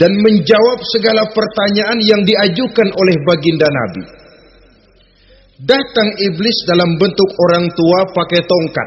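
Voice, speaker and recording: Someone with a Jakarta accent speaks at a fairly slow pace with lively intonation over noticeable background noise. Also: man. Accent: Betawi (Jakarta) dialect. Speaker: Islamic preacher. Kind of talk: religious sermon. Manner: firm, well-paced oratory with humour.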